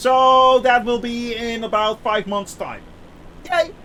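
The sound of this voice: Slowly and with fairly even intonation, a man speaks at an extremely high pitch in a bright, sharp tone.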